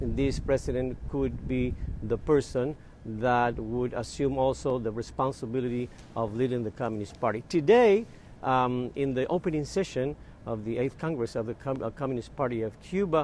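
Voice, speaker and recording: Speaking at a moderate pace, a man uses a plain, everyday voice at medium pitch, and his pitch varies in an ordinary way. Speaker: news correspondent. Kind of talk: live news interview answer. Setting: remote link from Havana.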